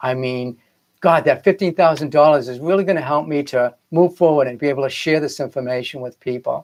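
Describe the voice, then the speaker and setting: A man with a Boston accent, fairly high-pitched, at a fairly quick pace. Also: ordinary pitch variation. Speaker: filmmaker and spiritual coach. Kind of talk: live broadcast talk. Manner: casual, hesitant with fillers.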